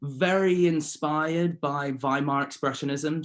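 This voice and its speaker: A man with a southern English accent. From Surrey, southern England. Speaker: painter. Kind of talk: interview.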